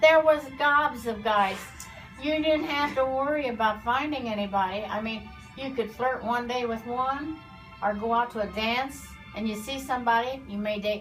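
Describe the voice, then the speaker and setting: Music plays behind a woman speaking at a moderate pace. Her voice is high-pitched, with ordinary pitch variation. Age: 80s+. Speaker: former beautician. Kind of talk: interview answer.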